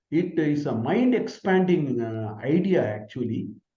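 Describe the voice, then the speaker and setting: With a Tamil accent, this dark, mellow voice moves through very wide pitch swings. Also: man. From Tamil Nadu, India (village). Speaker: professor. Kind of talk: Q&A answer in online lecture. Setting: online video session.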